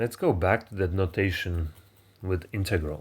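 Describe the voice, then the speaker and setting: A man with a Polish accent speaks in a fairly low, somewhat breathy voice. The recording is very clean, with a silent background. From Poland. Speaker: math teacher. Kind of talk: lecture. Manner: halting, with many fillers.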